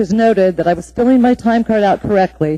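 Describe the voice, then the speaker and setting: With a dark, mellow tone and a fairly high pitch, a woman speaks at a moderate pace with ordinary pitch variation in a dry, close sound with no echo. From Alaska (Anchorage). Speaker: city engineer giving public testimony. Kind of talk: public testimony. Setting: municipal assembly meeting. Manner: formal.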